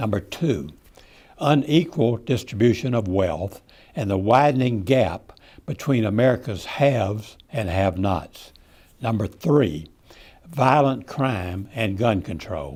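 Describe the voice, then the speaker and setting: At a fairly slow pace, a man with a strong Texan accent talks at a medium pitch with very wide pitch swings. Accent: Texas accent, strong. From Texas. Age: 80s+. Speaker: retired citizen giving political commentary. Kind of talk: prepared speech. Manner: measured, reading from script.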